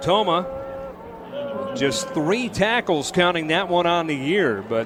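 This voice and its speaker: Over noticeable background noise, a man speaks very slowly at a high pitch, his voice swinging very widely up and down. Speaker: radio sports play-by-play announcer. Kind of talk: live radio sports play-by-play commentary.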